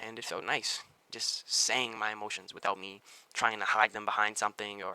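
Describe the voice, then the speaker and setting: This man's voice is fairly low in pitch, with a bright, sharp tone. He speaks at a very fast pace. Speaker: small YouTuber giving self-help advice. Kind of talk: motivational talk to camera. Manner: occasional stutter; casual, conversational with filler words.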